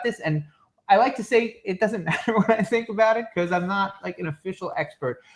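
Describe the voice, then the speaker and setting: A man speaks loudly. His pitch is high. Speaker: beer podcast host. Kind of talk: casual chat.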